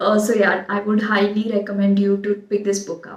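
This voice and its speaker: The speaker talks at a moderate pace with an Indian accent. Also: woman. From India, Marathi-speaking region. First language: Marathi. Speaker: book vlogger. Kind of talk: book recommendations video. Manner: frequent hesitations (uh); enthusiastic.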